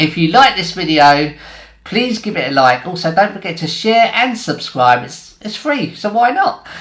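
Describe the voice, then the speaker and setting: Over noticeable background noise, a man with an English accent speaks at a high pitch with very wide pitch swings and big swings in loudness. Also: moderate pace. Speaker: YouTuber. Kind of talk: casual vlog outro. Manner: chatty.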